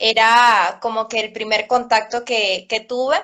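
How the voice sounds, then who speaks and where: Against a quiet background, a woman with a high pitch speaks fairly slowly in a Venezuelan accent. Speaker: cello teacher. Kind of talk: interview. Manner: hesitant, many fillers.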